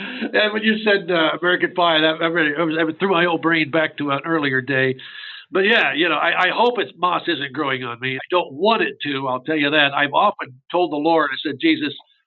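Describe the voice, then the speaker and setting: In an ordinary speaking voice, a man with a fairly high pitch talks at a fairly quick pace. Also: ordinary pitch variation. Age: 60s. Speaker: university chief financial officer. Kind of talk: interview.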